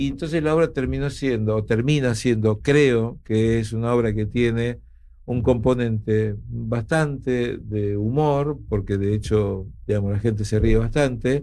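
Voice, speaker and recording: A man speaks fairly slowly in a dark, mellow tone. His pitch is medium, with ordinary variation. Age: 60s. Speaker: actor. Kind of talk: casual chat. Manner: animated.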